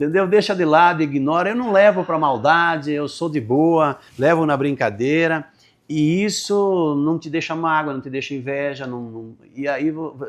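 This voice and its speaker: Against a quiet background, a man with a fairly high voice talks fairly slowly with ordinary pitch variation. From Serra Gaúcha, Rio Grande do Sul, Brazil (Italian-descended rural area). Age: 50s. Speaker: entrepreneur and association leader. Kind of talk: interview. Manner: calm.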